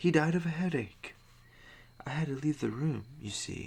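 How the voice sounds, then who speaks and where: A man whispers at a fairly slow pace, soft-spoken and somewhat breathy. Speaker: ASMR creator. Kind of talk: spooky story reading with casual commentary. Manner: soft-spoken, whispering.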